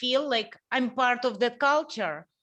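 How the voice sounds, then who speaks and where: A woman with a fairly high pitch and a Russian accent. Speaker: interview host. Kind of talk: casual interview conversation. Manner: halting.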